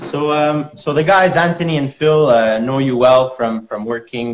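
A man's ordinary speaking voice at medium pitch, with ordinary pitch variation and a moderate pace. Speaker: podcast host. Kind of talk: interview. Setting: video call.

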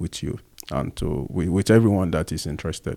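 A man with a Nigerian accent speaks in a very deep, low voice with a dark, mellow tone. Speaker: podcast co-host. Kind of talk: casual chat.

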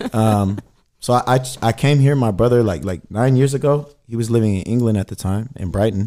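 A man's medium-pitched voice with an American accent, a dark, mellow tone and ordinary pitch variation. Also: fairly quick pace, very clean recording, silent background. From Sacramento, Northern California. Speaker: rapper. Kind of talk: casual interview chat. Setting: radio studio.

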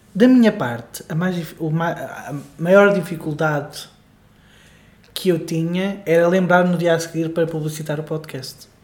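Pausing long and often at a fairly slow pace, a man with a European Portuguese accent speaks at a high pitch with ordinary variation, and the room echo is audible. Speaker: podcast co-host. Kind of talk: casual chat. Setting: home living room.

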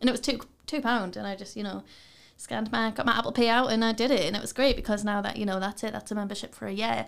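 In a Geordie accent, a woman speaks very fast with vocal fry, a fairly high pitch and fairly even intonation, on a very clean recording with a silent background. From Newcastle, northern England. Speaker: students' union officer. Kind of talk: casual chat. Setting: studio.

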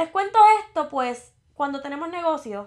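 A woman talks with lively intonation. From Puerto Rico, Morovis. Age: 20s. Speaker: marketing podcaster. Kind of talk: solo podcast monologue.

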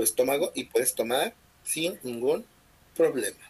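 A man at a fairly quick pace. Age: 30s. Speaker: podcast host. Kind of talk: casual chat.

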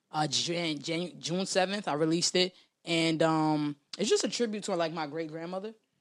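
The speech comes at a fairly quick pace in a New York accent. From New York City, South Bronx. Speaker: rapper. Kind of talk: casual interview.

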